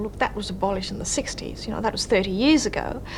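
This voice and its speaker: A woman's voice carries audible room echo. Noticeable background noise is also present. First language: Indonesian. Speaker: journalist and author. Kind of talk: interview. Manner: hesitant, with fillers.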